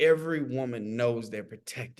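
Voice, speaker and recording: This man speaks in an animated tone. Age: 40s. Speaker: podcast guest. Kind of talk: casual chat.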